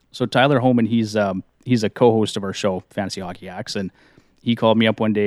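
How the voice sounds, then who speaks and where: A man with a western Canadian accent speaks at a fairly low pitch with fairly even intonation. The recording is very clean and silent in the background, with a dry, close sound and no echo. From Canadian Prairies. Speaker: fantasy hockey podcaster. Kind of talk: casual interview.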